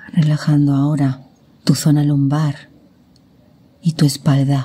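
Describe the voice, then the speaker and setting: A woman with a very deep, low voice speaks very slowly in a calm, soothing tone. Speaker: meditation guide. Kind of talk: guided meditation. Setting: recorded with real nature sounds in the background. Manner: calm, soothing, slow.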